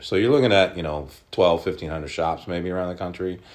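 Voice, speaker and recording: A man with an American accent talks with vocal fry. His pitch is very deep and low, with ordinary variation. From Oklahoma. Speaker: sports card shop owner. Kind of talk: interview.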